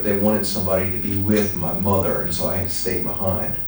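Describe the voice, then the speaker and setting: With an American accent, a man speaks at a moderate pace and fairly low pitch amid noticeable background noise and audible room echo. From US, left South Carolina at 3, raised elsewhere. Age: 50s. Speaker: law professor. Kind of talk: interview answering student questions. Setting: meeting with school students in France.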